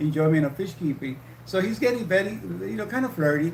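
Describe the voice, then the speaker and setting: A man with a fairly high pitch talks at a fairly quick pace with lively intonation. Audible echo fills the room. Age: 60s. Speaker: livestream co-host, retired nurse. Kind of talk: casual chat. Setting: livestream. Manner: halting.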